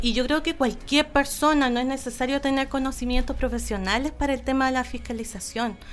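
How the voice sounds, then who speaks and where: A woman with a high voice speaks at a medium tempo, her pitch varying in a usual way. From Chile, Aysén region (Coyhaique). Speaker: local council candidate and environmental activist. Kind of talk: interview.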